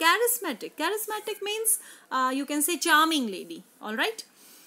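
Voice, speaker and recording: In a raised, projected voice, a woman speaks with an extremely high pitch, a bright, sharp tone and very wide pitch swings. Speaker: English teacher. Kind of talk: lecture.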